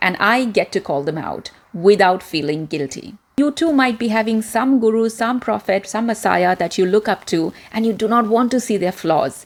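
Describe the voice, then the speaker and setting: Her voice fairly high for a woman, she talks at a moderate pace with lively intonation and hardly any pauses. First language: Indian regional language. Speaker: communication coach, former media presenter. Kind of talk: self-help video talk.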